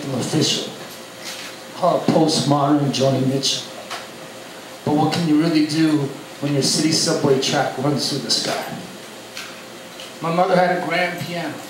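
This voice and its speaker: Speaking at a moderate pace with long, frequent pauses, a man uses a monotone, flat intonation at a fairly high pitch over noticeable background noise. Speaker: performance poet. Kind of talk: spoken word poetry performance. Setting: live open mic, audience.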